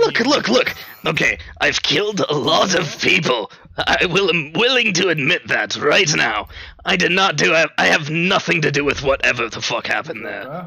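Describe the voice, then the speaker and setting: Put-on character voice from a man, high-pitched, at a moderate pace. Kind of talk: comic improv impression. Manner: mocking, wisecracking, theatrical.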